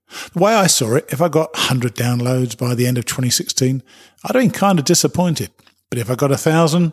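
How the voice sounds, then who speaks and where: With a somewhat breathy voice at a medium pitch, a man talks at a fairly quick pace with lively intonation, in a dry, close sound with no echo. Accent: British. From Britain. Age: 60s. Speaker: hiking podcast host. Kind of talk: promotional spot.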